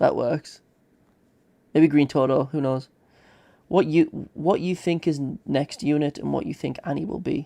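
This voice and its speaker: With a British accent, a man speaks at a moderate pace in a fairly high-pitched, dark, mellow tone, using ordinary pitch variation and long, frequent pauses. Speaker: gaming streamer. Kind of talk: live stream commentary. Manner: aggressive.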